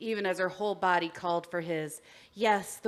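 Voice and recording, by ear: A text is read aloud in a natural voice. Its intonation is fairly even.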